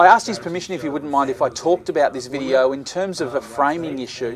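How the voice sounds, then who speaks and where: Very fast speech in an Australian accent, against noticeable background noise. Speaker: video blogger, video production tutor. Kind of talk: tutorial. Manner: halting, with frequent fillers.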